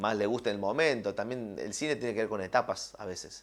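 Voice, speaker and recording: In a very clean recording against a silent background, a man speaks with fairly even intonation. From Argentina, Villa María (Córdoba). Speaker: film and TV director. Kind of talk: interview. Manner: hesitant, many fillers and repetitions.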